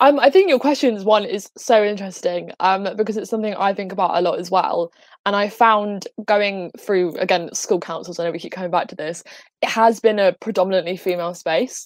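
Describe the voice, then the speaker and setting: Using ordinary pitch variation, a woman with an English accent speaks at a medium pitch and a fairly quick pace. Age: 18. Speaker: student activist. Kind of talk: panel discussion.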